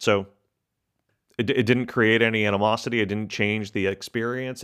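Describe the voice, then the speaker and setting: Speaking at a moderate pace, a man uses an ordinary speaking voice pitched fairly low. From Texas. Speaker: corporate professional sharing diet story. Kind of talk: personal testimony.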